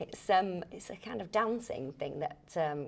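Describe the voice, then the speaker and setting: Very slow speech comes from a woman. She has a Lancashire accent. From Lancashire, England. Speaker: actor. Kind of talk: interview answer.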